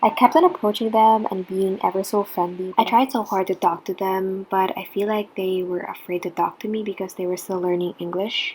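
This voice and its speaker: A woman's medium-pitched voice with a non-native accent, at a fairly quick pace. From Philippines. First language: not English. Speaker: international student. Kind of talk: personal story vlog.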